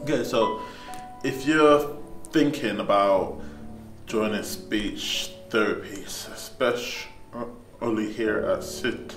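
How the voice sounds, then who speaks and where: A man is speaking. Music plays in the background. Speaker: person who stammers, speech therapy student. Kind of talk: interview answer.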